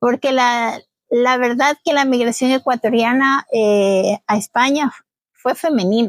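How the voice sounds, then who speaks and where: In a dry, close recording with no echo, a woman with a high pitch speaks at a fairly slow pace, with ordinary pitch variation and very even loudness. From Ecuador, Babahoyo. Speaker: community association leader, migrant. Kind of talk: interview, personal story.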